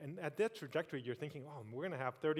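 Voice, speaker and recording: This is a man talking. His voice sits fairly high. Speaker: tech industry executive, keynote speaker. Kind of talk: keynote speech. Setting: stage with audience. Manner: fast.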